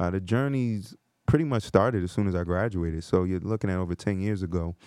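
A man with an American accent talks fairly quickly in a fairly low pitch, with a normal speaking voice and ordinary pitch variation. The sound is dry and close with no echo, and the background is quiet. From New Jersey (New Brunswick). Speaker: career coach and podcast co-founder. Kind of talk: casual chat.

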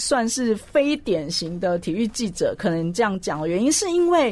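Loud speech at a moderate pace, very wide pitch swings, noticeable background noise. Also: woman. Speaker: sports journalist and columnist. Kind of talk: radio interview.

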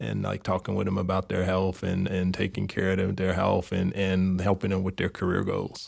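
At a moderate pace, the speech has audible vocal fry. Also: man. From Chicago, South Side. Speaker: neonatologist. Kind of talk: interview.

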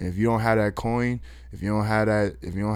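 A man with an American accent speaks at a fairly low pitch with ordinary pitch variation, in a plain, everyday voice. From Austin, Texas (south side). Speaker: rapper. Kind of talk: casual interview chat.

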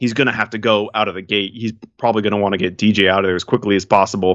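A man talks at a very fast pace and a fairly low pitch. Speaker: MMA podcast host. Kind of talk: casual chat.

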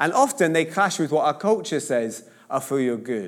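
A man at a moderate pace with very wide pitch swings, on a very clean recording with a silent background. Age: 30s. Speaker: pastor. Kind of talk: sermon. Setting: church with congregation. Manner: casual conversational.

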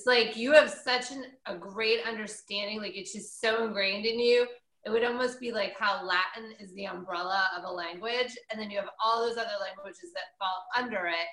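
A woman's normal speaking voice, fairly high in pitch, at a moderate pace with hardly any pauses and big swings in loudness. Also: ordinary pitch variation. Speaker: radio host. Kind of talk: casual chat.

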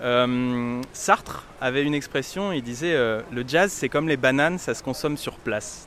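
Against noticeable background noise, a man speaks in a medium pitch with ordinary pitch variation. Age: 30s. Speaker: radio journalist. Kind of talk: street interview.

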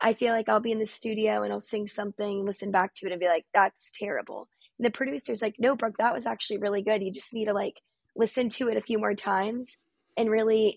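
Over music in the background, an American-accented voice talks at a very fast pace with ordinary pitch variation and a dry, close sound with no echo. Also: woman. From North Carolina, US. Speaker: singer-songwriter. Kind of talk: casual interview conversation. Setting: video call.

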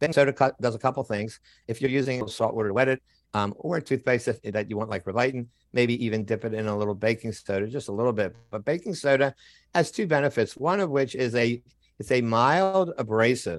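The speech moves at a very fast pace with ordinary pitch variation. It is a very clean recording with a silent background. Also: man, medium pitch for a man. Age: 70s. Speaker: periodontist and cancer survivor. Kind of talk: interview conversation.

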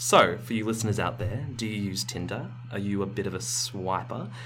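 A man talks at a medium pitch. The room echo is audible, and the background noise is noticeable. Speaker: science podcast host. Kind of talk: casual chat. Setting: small recording space with carpeted walls.

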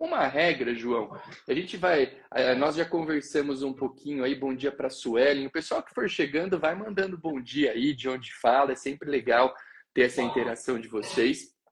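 At a moderate pace, this man talks in an unremarkable speaking voice. He pitches fairly high and varies it in an ordinary way. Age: 20s. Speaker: notary law educator and live show host. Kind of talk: live social media talk show.

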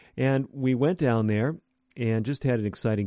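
With a dry, close sound, no echo and a quiet background, a man speaks in a dark, mellow tone at a moderate pace with ordinary pitch variation. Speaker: physician radio host. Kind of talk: radio health program. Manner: formal, educational.

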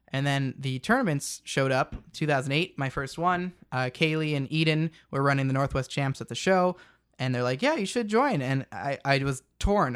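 A very clean recording with a silent background of a man with an unremarkable speaking voice, fairly high pitch, ordinary pitch variation, and a moderate pace. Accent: American. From Central Washington, US. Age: 20s. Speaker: competitive pinball player. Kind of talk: casual interview chat. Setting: studio.

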